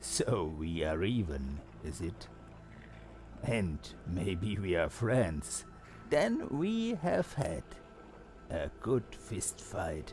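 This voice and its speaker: Over clear background noise, a man performs a put-on character voice at a very deep, low pitch, moving at a very slow pace with long, frequent pauses. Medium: game stream. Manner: laughing, playful.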